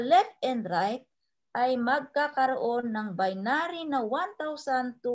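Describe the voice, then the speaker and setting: A woman at a very slow pace with very wide pitch swings, against a quiet background. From Philippines. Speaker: overseas Filipino worker, network marketing trainer; network marketing trainer. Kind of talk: sales presentation. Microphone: video call.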